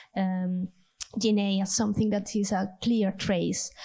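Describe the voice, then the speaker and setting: Woman with an Italian accent, in a monotone, flat intonation. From Italy. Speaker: audience member asking a question. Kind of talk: conference Q&A question. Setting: conference round table with audience.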